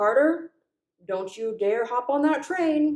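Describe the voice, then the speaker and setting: In a put-on character voice, a female-sounding speaker talks gruffly with a high pitch at a fairly slow pace. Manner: cruel.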